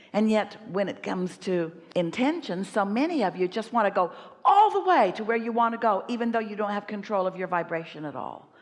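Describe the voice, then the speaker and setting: Speaking at a fairly quick pace with hardly any pauses, a woman uses a medium pitch and ordinary pitch variation. Noticeable background noise can be heard. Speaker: spiritual teacher giving answers to audience questions at a live workshop. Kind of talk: motivational teaching talk answering an audience member.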